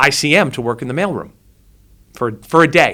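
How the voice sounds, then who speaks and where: A man with a New Jersey accent talks at a fairly quick pace and medium pitch. His tone is bright and sharp, and the recording is very clean with a silent background. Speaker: filmmaker. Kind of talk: interview storytelling. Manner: animated.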